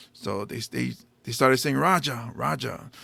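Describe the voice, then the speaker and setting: With a Hawaiian accent, a man speaks at a moderate pace. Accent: Hawaiian local English. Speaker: stand-up comedian and podcast host. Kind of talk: casual chat.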